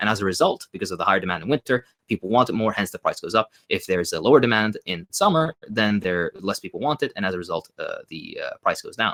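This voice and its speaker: A man with a non-native accent talks at a very fast pace, his loudness swinging widely. The sound is dry and close, with no echo. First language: not English. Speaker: socialist commentator. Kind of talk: Q&A interview. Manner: hesitant, many fillers.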